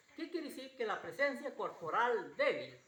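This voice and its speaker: A man's raised, projected voice at an extremely high pitch, with audible room echo and noticeable background noise. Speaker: pastor. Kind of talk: sermon. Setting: church. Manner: repetitive, halting.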